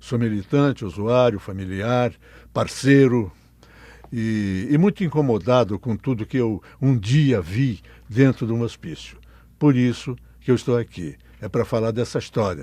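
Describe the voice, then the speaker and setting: With a dark, mellow tone, a man speaks at a medium pitch and a fairly slow pace. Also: ordinary pitch variation. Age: 80s+. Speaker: mental health activist. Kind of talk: interview testimony. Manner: halting, repeats words.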